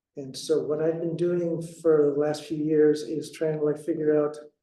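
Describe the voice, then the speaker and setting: A soft-spoken man talks at a fairly slow pace in a dark, mellow tone. His intonation is monotone and flat, and there is audible room echo. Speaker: herbalist and flower essence practitioner. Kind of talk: lecture. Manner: halting, many repetitions and fillers.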